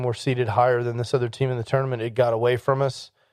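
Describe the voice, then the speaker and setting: Over a quiet background, a man at a medium pitch speaks in a monotone, flat intonation. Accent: American. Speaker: podcast host. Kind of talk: casual monologue.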